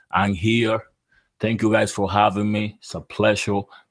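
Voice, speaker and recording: This man speaks with a Dominican accent. His pitch sits fairly low. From Dominican Republic. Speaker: barber and entrepreneur. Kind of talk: interview.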